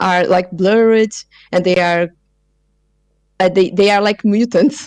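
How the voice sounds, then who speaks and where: In a very clean recording with a silent background and a dry, close sound with no echo, a woman with a Portuguese accent speaks with ordinary pitch variation. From Brazil, São Paulo. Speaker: multimedia artist and researcher. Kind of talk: interview. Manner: halting, many fillers.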